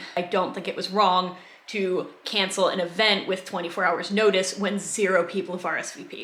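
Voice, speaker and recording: A woman with an American accent talks at a moderate pace and medium pitch, her intonation monotone and flat. Audible room echo and noticeable background noise fill the recording. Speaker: YouTuber discussing community drama. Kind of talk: casual commentary monologue. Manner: calm but sarcastic.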